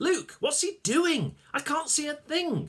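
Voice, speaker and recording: A man puts on a squeaky character voice at an extremely high pitch, speaking fairly slowly. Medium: read story. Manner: grumbling, fussy.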